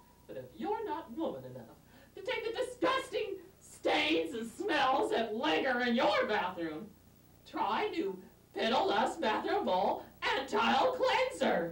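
A man does a put-on character voice at an extremely high pitch. He talks at a fairly slow pace with slight echo. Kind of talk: comic overacting, sitcom parody. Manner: whiny, demanding.

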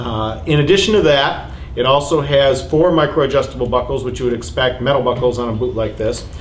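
A man speaks at a fairly quick pace and a medium pitch, with ordinary pitch variation. Background noise is clearly audible.

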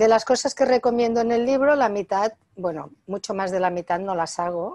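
Against a quiet background, a woman talks at a moderate pace in a fairly high voice with ordinary pitch variation. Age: 60s. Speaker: author and natural health expert; interviewee. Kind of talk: interview. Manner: hesitant with fillers. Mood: calm, friendly. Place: home room. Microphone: video call.

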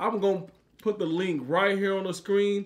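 At a moderate pace, a man talks with a high pitch. His intonation stays fairly even. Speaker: food vlogger host. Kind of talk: casual vlog chat.

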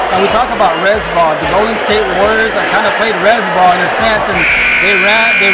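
Amid loud background noise, a man talks fairly quickly. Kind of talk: interview answer. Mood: proud, upbeat. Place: hall. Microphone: handheld.

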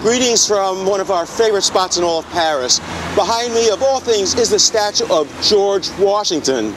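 A man speaks with lively intonation at a moderate pace. Noticeable background noise runs underneath. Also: dry sound with no echo. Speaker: travel video host. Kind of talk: travel presentation to camera. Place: market.

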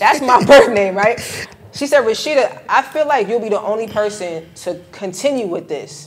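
A woman talks at a moderate pace with lively intonation and a fairly high pitch. She has a normal speaking voice. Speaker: credit and travel expert, middle school teacher. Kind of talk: casual podcast interview. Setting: recorded on site at a conference. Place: studio.

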